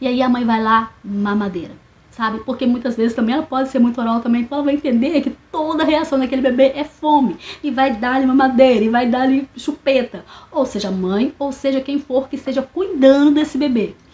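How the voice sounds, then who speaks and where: This woman's voice is high-pitched. She speaks at a fairly quick pace with ordinary pitch variation. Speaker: therapist. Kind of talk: educational monologue. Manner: fast; casual, hesitant.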